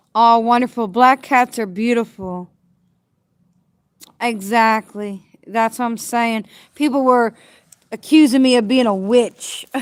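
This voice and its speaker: A fairly slow pace with long, frequent pauses. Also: woman, fairly high pitch for a woman. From New Jersey. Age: 40s. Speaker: homeless livestreamer. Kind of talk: casual livestream chat. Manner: halting.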